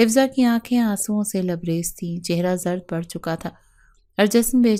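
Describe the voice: Ordinary pitch variation in plain reading aloud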